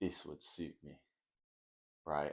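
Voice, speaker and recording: Vocal fry runs through a man's voice. He keeps a moderate pace. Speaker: fitness vlogger and mentor. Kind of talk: late-night vlog monologue.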